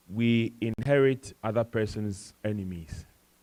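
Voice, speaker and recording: A man's fairly low voice with an African accent and ordinary pitch variation, dry and close with no echo. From Ghana, West Africa. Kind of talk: panel discussion talk.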